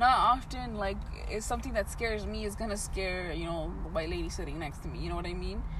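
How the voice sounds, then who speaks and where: Very fast pace over noticeable background noise. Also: woman. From Southern California, Paramount/Compton area. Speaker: podcast co-host. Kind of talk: casual chat. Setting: outdoors.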